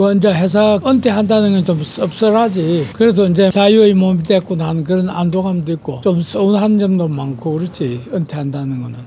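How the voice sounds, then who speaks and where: With noticeable background noise, a man with a high voice speaks at a moderate pace, with ordinary pitch variation and hardly any pauses. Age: 80s+. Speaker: retired travel agent. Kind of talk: street interview answer.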